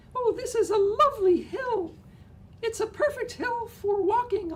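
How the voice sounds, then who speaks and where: A squeaky, put-on character voice from a man, extremely high-pitched, at a moderate pace over clear background noise. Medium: read story. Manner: polite, eager.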